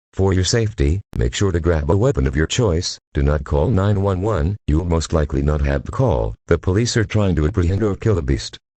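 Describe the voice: With few pauses and lively intonation, a man speaks at a fairly quick pace in a low, dark, mellow tone, the sound dry and close with no echo.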